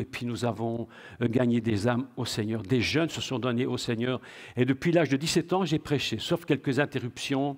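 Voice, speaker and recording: A plain, everyday voice from a man, medium pitch, moderate pace, and a very clean recording with a silent background. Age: 60s. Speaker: preacher. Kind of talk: sermon.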